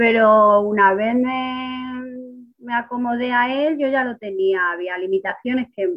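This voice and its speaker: A woman with a fairly high pitch talks in a normal speaking voice with ordinary pitch variation. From Spain, Ciudad Real. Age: 30s. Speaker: kidney patient on dialysis. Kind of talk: interview.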